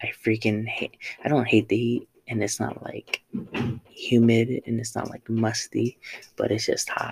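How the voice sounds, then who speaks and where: A man with an American accent at a fairly slow pace, in a dry, close recording with no echo. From Southern California. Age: 20s. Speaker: podcast host and vintage reseller. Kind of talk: casual monologue. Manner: halting, many fillers.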